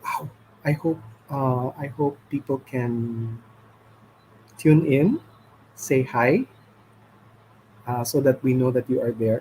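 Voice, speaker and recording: A man speaks at medium pitch and sounds somewhat breathy. His pitch variation is ordinary. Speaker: livestream host. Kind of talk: casual chat. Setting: live stream. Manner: halting.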